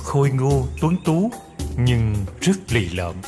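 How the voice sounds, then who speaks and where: Music plays in the background as a man speaks at a medium pitch with very wide pitch swings. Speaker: voice actor. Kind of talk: history storytelling narration.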